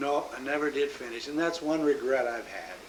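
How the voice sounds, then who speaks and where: A man with an American accent talks at a moderate pace, with audible room echo and noticeable background noise. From US Midwest, Omaha, Nebraska. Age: 60s. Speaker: grandfather interviewed about his life. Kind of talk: oral history interview. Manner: halting, many fillers.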